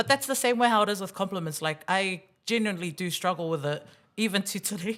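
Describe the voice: A woman talks at a fast pace with lively intonation. Her pitch is medium and her tone fairly bright.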